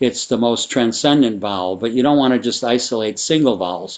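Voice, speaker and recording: A man with a Midwestern American accent, medium pitch, ordinary pitch variation and a moderate pace. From US Midwest. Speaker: sound therapy teacher. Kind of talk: tutorial.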